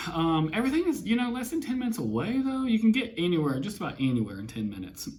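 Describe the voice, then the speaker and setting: A man with an Alabama accent talks very fast in an animated tone, his pitch swinging very widely. Room echo is audible. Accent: US Southern (Alabama). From Alabama (Huntsville). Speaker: mortgage lender and YouTuber. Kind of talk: casual chat.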